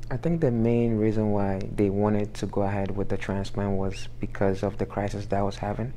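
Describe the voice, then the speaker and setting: A man with a dark, mellow, fairly low voice talks at a fairly quick pace with hardly any pauses, very even loudness and ordinary pitch variation, with audible room echo. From Ghana. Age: young. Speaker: sickle cell transplant survivor. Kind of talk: interview.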